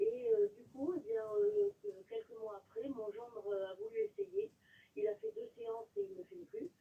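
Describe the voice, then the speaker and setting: A woman's high voice with a dark, mellow tone, very wide pitch swings and big swings in loudness at a fairly slow pace. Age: 60s. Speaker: caller, nurse. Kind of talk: testimony. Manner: halting, many filler sounds.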